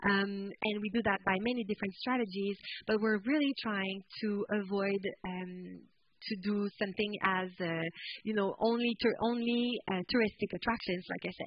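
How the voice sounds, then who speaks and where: The speaker talks at a moderate pace in a French-Canadian accent. Intonation stays fairly even. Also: woman. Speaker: tourism product developer. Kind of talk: conference presentation.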